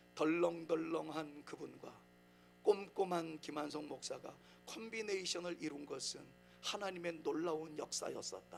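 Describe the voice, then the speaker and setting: Against music in the background and audible room echo, a man talks at a moderate pace. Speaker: pastor. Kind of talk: sermon. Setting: church.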